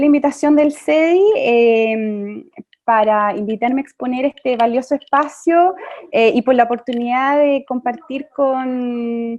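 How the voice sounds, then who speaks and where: A woman speaks at high pitch and a fairly slow pace, with ordinary pitch variation and very even loudness. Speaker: lawyer and panelist. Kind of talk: presentation talk. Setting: video conference webinar.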